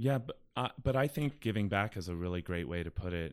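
A man with an American accent speaks at a very deep, low pitch. He keeps a moderate pace in this very clean recording with a silent background. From US, Pittsburgh. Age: 50s. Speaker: opera singer. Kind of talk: casual interview.

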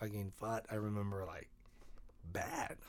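This is a man with a fairly low-pitched voice. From Mexico, Mexicali. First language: Spanish. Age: 30s. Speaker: musician. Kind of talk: casual chat.

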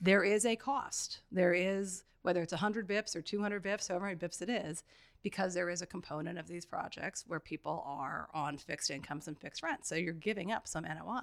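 With an American accent, a woman at medium pitch speaks at a fairly quick pace with ordinary pitch variation in a normal speaking voice. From New York City. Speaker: real estate investor and former deputy mayor. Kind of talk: podcast interview.

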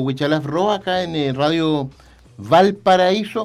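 A man speaks at a high pitch for a man in a very clean recording with a silent background. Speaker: radio host. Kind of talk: radio interview. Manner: halting, many fillers.

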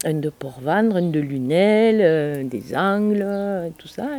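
Her voice has a dark, mellow tone. This woman's pitch swings very widely. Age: 60s. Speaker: chef and cooking trainer. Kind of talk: interview.

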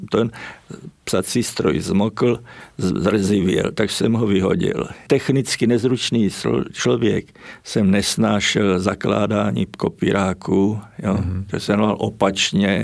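With vocal fry and very even loudness, a man talks at a very slow pace and ordinary pitch variation. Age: 80s+. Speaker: writer and artist, former stage technician. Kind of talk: interview.

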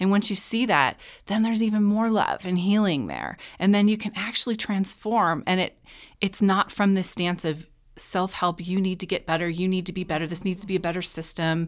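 Recorded very cleanly against a silent background, a woman with a plain, everyday voice speaks at a medium pitch and a fairly quick pace with fairly even intonation. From Chicago North Shore suburbs. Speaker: school social worker and teacher. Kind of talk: interview. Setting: studio.

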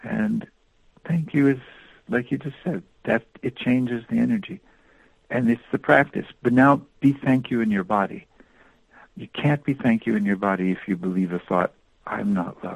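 At a moderate pace, a man of medium pitch swings his pitch very widely and takes long, frequent pauses, in a dry, close sound with no echo. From US East Coast. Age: 60s. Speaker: author and workshop leader. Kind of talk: interview.

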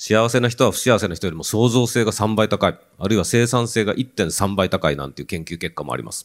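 A man speaks at a fairly quick pace with hardly any pauses, his fairly low voice showing vocal fry and ordinary pitch variation. His loudness swings widely on a very clean recording with a silent background. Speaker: professor researching happiness. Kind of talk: panel talk.

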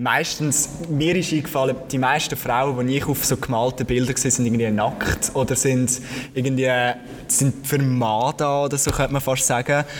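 A man at medium pitch and moderate pace, with fairly even intonation, very even loudness and noticeable background noise. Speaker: podcast host. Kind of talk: live podcast conversation. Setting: museum with live audience.

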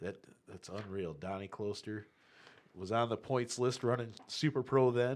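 A man speaks in a plain, everyday voice at medium pitch and a moderate pace. His pitch variation is ordinary, but his loudness swings widely. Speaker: drag racing podcast co-host. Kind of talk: casual chat.

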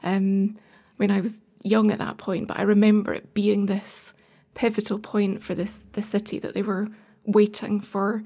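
In a Scottish accent, a woman speaks at a moderate pace with a medium pitch. Her tone is dark and mellow, somewhat breathy, and her intonation flat and monotone. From Scotland, Edinburgh. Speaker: arts organisation director. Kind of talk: casual interview.

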